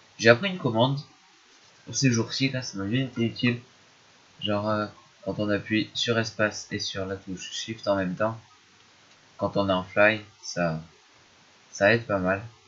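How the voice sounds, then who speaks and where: A quiet man's fairly low voice, with ordinary pitch variation, a fairly slow pace and long, frequent pauses. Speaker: gaming youtuber. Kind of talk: gameplay commentary. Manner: hesitant. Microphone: poor microphone.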